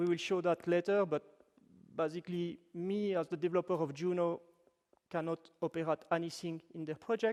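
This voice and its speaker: With a French-Swiss accent, a man with a high pitch talks at a moderate pace and fairly even intonation, the sound dry and close with no echo. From French-speaking Switzerland. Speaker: web developer, workshop presenter. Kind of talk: technical workshop talk. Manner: casual, with fillers and self-corrections.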